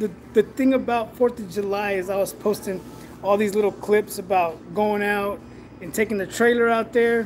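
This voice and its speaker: A man's high-pitched voice at a moderate pace over light background noise. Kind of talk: casual live stream chat. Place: workshop. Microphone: phone near.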